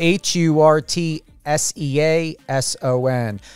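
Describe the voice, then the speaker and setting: A man's fairly high voice with a New Jersey accent, dry and close with no echo. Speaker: radio host. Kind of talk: radio interview.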